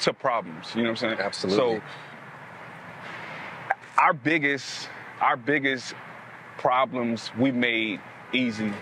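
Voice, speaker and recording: The sound is dry with no echo, over light background noise. A man is speaking. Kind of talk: interview answer. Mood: upbeat, confident. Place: street. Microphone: lapel.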